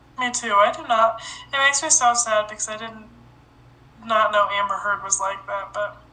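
Against noticeable background noise, a woman with a fairly high pitch speaks at a moderate pace, with ordinary pitch variation, big swings in loudness and long, frequent pauses. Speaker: podcast host. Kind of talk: casual chat.

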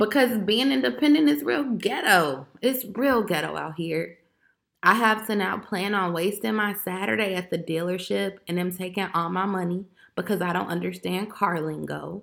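In a very clean recording with a silent background, a woman with an American accent speaks at a moderate pace and medium pitch, with vocal fry. Her tone is animated, and her pitch swings very widely. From Chicago, Illinois. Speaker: podcaster. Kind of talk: casual monologue rant.

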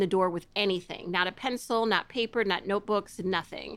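In a very clean recording with a silent background, a woman with a Midwestern accent speaks in a bright, sharp tone at a fairly quick pace. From US Midwest, Chicago area (DeKalb). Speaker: former teacher and editor. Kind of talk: casual interview. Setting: at home.

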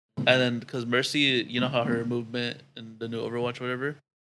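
A normal speaking voice moves along at a fairly quick pace. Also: man. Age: 20s. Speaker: podcast regular. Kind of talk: casual chat.

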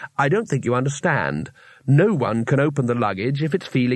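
The speaker is reading aloud in a natural voice. Their pitch varies in an ordinary way.

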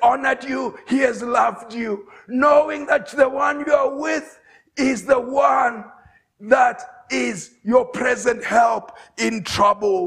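Shouting in a raised voice, a man speaks slowly with fairly even intonation, a slightly husky edge, vocal fry and a fairly bright tone.

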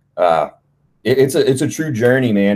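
A plain, everyday voice keeps a moderate pace and varies its pitch in an ordinary way. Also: man. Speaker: bodybuilder and podcast co-host. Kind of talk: casual chat.

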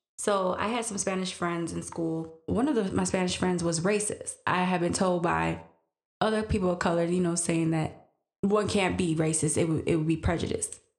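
A woman with an American accent speaks at a moderate pace and a fairly low pitch. Her intonation is fairly even, with audible room echo. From Green Bay, Wisconsin, US Midwest. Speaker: podcast guest, mother. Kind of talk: casual interview.

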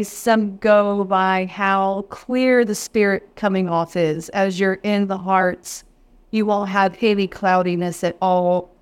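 A woman with a Texan accent speaks at a very slow pace and medium pitch, her intonation fairly even, in a very clean recording with a silent background. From East Texas. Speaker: whiskey educator. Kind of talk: interview.

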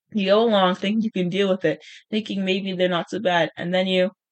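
A man puts on a strained character voice, high in pitch. He moves at a fairly quick pace with monotone, flat intonation.

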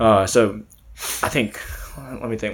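With noticeable background noise behind him, a man talks at a moderate pace in an American accent. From Texas, Beaumont. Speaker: podcast guest, musician. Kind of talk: casual chat.

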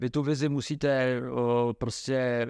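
The voice has monotone, flat intonation. The sound is dry and close with no echo, over a quiet background. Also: man. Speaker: football coach. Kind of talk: interview.

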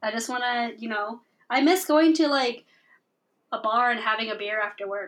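Pausing long and often, a woman speaks with a fairly high pitch and ordinary pitch variation. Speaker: podcast co-host. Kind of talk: casual chat. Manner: fast.

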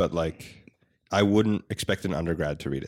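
A plain, everyday voice from a man, fairly quick and lively in intonation, in a very clean recording with a silent background and dry, close sound with no echo. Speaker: podcast co-host. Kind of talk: casual discussion podcast.

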